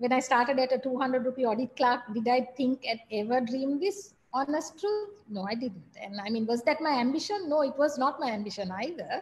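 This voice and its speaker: A woman speaks at a fairly quick pace in a high voice with lively intonation. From Sri Lanka. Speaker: business executive; guest. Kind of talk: guest talk to MBA class. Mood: reflective, candid.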